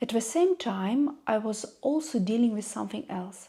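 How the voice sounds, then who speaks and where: A woman talks at a fairly slow pace in a Russian accent, her fairly high voice somewhat breathy with a dark, mellow tone. Her intonation is lively. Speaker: YouTuber. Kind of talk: personal vlog monologue.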